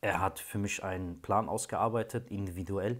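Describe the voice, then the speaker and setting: Fairly low in pitch, a man speaks at a fairly slow pace with fairly even intonation. The background is quiet. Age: 30s. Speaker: client giving a testimonial, train driver. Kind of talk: testimony. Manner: hesitant, many filler sounds. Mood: calm, reflective. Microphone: phone near.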